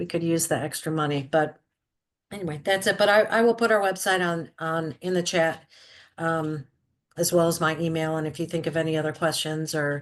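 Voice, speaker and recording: Against a quiet background, a woman talks fairly quickly in a fairly low pitch. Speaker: nonprofit cafe founder. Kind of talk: online meeting presentation. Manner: fast.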